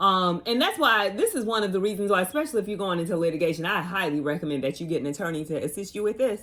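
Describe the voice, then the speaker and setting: A woman talks at a very fast pace and medium pitch, with lively intonation and hardly any pauses. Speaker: personal injury lawyer. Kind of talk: casual legal tips vlog while doing makeup. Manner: casual, chatty; quiet in part.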